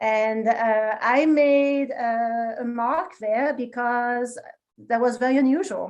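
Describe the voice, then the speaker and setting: Speaking very slowly, a woman with a French accent uses a high pitch. Her intonation is fairly even. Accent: French accent, still noticeable. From France, small town. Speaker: marketing executive. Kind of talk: interview conversation.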